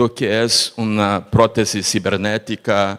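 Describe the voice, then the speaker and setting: With a fairly low pitch and monotone, flat intonation, a man speaks at a very slow pace. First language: Portuguese (speaking Spanish). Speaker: researcher, panelist. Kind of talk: panel discussion.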